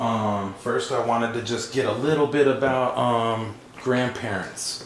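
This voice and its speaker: Medium-pitched male speech, fairly slow and fairly even in intonation, over noticeable background noise. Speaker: family interviewer. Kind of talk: casual interview questions.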